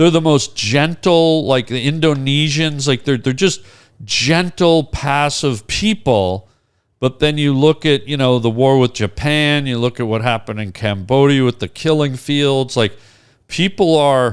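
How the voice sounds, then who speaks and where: In a very clean recording with a silent background, a man with a Canadian accent and a normal speaking voice talks at a fairly slow pace, his fairly high pitch showing ordinary variation. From Canada. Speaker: comedian. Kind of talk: casual chat.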